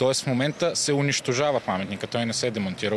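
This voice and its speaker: With light background noise, the voice has a dry sound with no echo and ordinary pitch variation. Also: man. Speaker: municipal councillor. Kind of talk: heated debate. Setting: outdoors. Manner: animated. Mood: indignant, accusatory. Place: street. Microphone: handheld.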